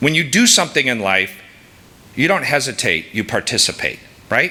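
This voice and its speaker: Loud and animated, a man at medium pitch speaks at a fairly quick pace with very wide pitch swings over noticeable background noise. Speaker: sales executive and scout leader. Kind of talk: speech to an audience. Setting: stage with audience.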